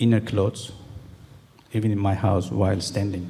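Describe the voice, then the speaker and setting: A man speaks with a Turkish accent in a dark, mellow tone, somewhat breathy. His pitch is fairly low, his intonation fairly even, and his pace moderate. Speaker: calligrapher. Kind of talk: talk to an audience. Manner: halting.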